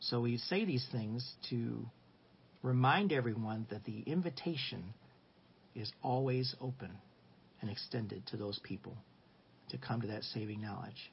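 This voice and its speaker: A man speaks at a fairly slow pace, with long, frequent pauses. His medium-pitched voice is somewhat breathy, with ordinary pitch variation. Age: 60s. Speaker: Sunday school teacher. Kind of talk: Bible lesson. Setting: live stream.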